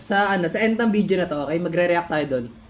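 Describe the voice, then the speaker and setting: Lively intonation carries this speech along at a fairly quick pace. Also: woman. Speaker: YouTuber reacting to own old videos. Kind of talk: casual reaction commentary. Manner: animated.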